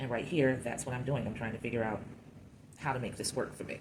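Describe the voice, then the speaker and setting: Speaking at a very fast pace, a woman has a very deep, low pitch and monotone, flat intonation, with audible room echo around her. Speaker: clay sculptor. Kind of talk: tutorial. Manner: casual thinking aloud.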